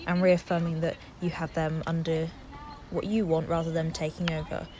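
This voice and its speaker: A woman talks at a moderate pace in a fairly low voice, with noticeable background noise behind her. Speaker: dressage rider. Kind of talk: instructional voiceover. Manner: monotone.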